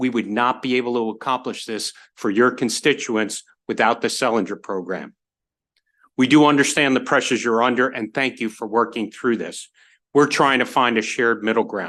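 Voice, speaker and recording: Against a quiet background, a man speaks loudly with a bright, sharp tone and fairly even intonation. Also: medium pitch for a man, moderate pace. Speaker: university representative. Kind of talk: testimony. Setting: legislative committee hearing.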